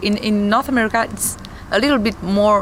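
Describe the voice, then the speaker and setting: A woman with a non-native accent speaks at a moderate pace over noticeable background noise. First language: not English. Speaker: metal band singer. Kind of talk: interview. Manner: halting, searching for words.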